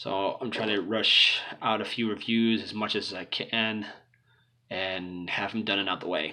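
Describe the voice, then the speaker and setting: Male voice, rather unhurried, with room echo clearly audible. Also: fairly low pitch for a man. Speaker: toy reviewer. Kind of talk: product review. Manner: unenthusiastic.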